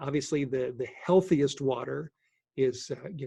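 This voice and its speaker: A man speaks at medium pitch and a moderate pace with fairly even intonation. His tone is dark and mellow, and somewhat breathy. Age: 60s. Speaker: sprouting instructor. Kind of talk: Q&A session. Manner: halting.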